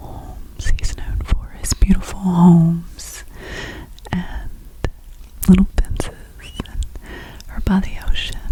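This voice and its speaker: A woman whispers at a very slow pace. Noticeable background noise can be heard. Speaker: ASMR creator. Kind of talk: ASMR question and answer, talking to camera. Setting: close microphone. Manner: soft-spoken, whispery, repetitive phrasing.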